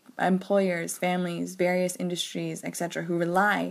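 A woman with an American accent speaks at a moderate pace on a very clean recording with a silent background. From US South (Georgia, Arkansas, North Carolina). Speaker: education advocate. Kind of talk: recorded voice memo.

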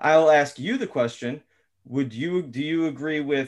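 A man with an American accent, a plain, everyday voice, ordinary pitch variation and a fairly slow pace. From Philadelphia. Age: 40s. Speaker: guest, father of three. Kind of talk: discussion.

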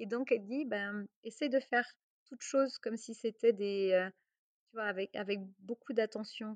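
A woman's fairly high voice at a moderate pace, with ordinary pitch variation and a dry, close sound with no echo. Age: 40s. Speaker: entrepreneur and investor. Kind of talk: interview. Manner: hesitant, repeats words.

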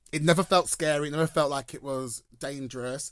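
A man talks at a moderate pace with a London accent. The recording is very clean, with a silent background. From London, Enfield. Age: 30s. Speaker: drag performer. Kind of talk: casual chat. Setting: studio. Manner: animated.

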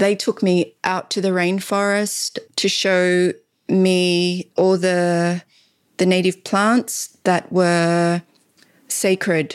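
Someone with an Australian accent speaks at a very slow pace with fairly even intonation. The recording is very clean and dry, with a silent background and no echo. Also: woman. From Laos, raised in Australia. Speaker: natural dye artist and weaver. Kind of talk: casual interview. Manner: halting, frequent repetitions.

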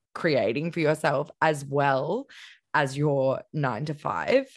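On a very clean recording with a silent background, a woman with an Australian accent speaks at a very deep, low pitch with ordinary pitch variation. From Queensland, Australia. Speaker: podcast host. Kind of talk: casual interview.

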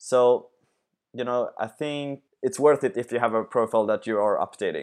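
This man talks at a moderate pace. He has a Swedish accent. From Sweden. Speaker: sports entrepreneur. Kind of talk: interview. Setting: remote call. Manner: halting.

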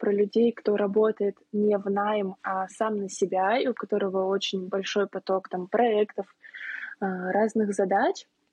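In an unremarkable speaking voice, a woman talks at a fairly high pitch. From Saint Petersburg, Russia. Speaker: planning coach and pastry shop owner. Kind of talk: casual podcast conversation.

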